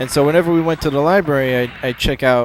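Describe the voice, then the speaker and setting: There is noticeable background noise as a man speaks with an American accent. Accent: American, English accent completely gone. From England, moved to US around age eight. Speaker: gaming video creator. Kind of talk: let's play commentary. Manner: casual with many fillers and repetitions.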